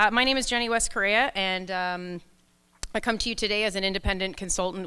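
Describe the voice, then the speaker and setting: Loud and at a fairly quick pace, a woman speaks at a medium pitch with ordinary pitch variation and a bright, sharp tone in a very clean recording with a silent background. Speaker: leadership coach and keynote speaker. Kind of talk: conference keynote talk. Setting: stage with audience, microphone.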